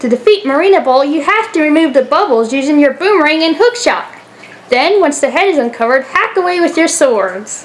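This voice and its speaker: In a put-on character voice, a woman speaks high and fairly quickly over clear background noise. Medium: read story.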